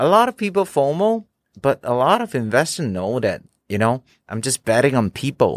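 A man's fairly high voice with very wide pitch swings, at a moderate pace, dry and close with no echo, in a very clean recording with a silent background. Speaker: NFT collector and community founder. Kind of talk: interview. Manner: code-switching Mandarin and English; halting, repeated words.

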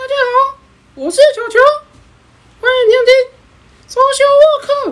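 At a moderate pace, a woman performs a put-on character voice pitched extremely high. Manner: playful, imitating a cartoon.

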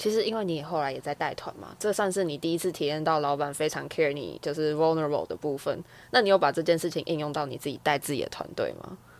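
Speaking at a very fast pace, a woman with a very deep, low voice shows ordinary pitch variation. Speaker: podcast co-host. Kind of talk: casual interview chat.

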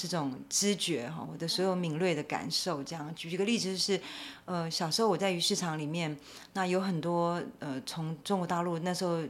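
With an ordinary speaking voice, a woman talks at a fairly low pitch and a moderate pace, using ordinary pitch variation. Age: 50s. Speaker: animal welfare advocate. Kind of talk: interview.

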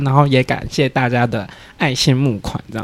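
With an ordinary speaking voice, a man of medium pitch talks at a fairly quick pace. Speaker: podcast guest. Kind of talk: casual chat.

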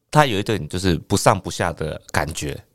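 A man talks at a moderate pace with very wide pitch swings, in a very clean recording with a silent background. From Taiwan, Penghu islands. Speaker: stand-up comedian. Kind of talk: casual chat. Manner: calm, low-key.

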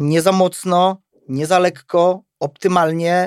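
The high-pitched voice of a man comes through with a dry, close sound and no echo. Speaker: self-defence instructor. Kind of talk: casual chat.

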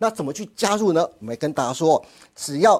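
Moderate speed, very clean recording, silent background. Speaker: TV finance show host. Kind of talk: sales pitch; show hosting.

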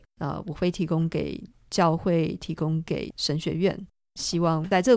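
Fairly low in pitch and marked by vocal fry, a woman's voice comes through on a very clean recording with a silent background. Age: young. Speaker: mission organization director. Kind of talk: radio interview.

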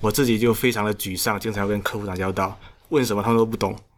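Speaking very fast, a man with a fairly low voice keeps his intonation fairly even. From Xiamen, China. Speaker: solo startup founder. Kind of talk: casual interview chat. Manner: halting.

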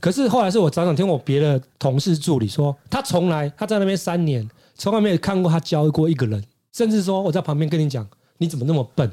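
A man talks at a very fast pace with a dark, mellow tone and a fairly high pitch. His intonation is lively and his loudness stays very even. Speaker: hairstylist. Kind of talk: casual chat.

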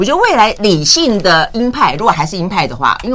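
A woman talks fairly quickly, her pitch swinging very widely. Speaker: radio host. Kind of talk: casual interview chat.

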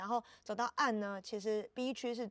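A woman speaks in an ordinary speaking voice at a moderate pace, her fairly high pitch showing ordinary pitch variation in a dry, close sound with no echo. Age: 20s. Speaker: art festival curator and artist. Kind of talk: casual interview chat. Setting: on site at outdoor art festival.

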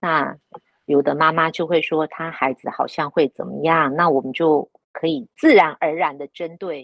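Speaking with fairly even intonation at a moderate pace, the woman has a very deep, low pitch. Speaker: retired newspaper journalist. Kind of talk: casual chat.

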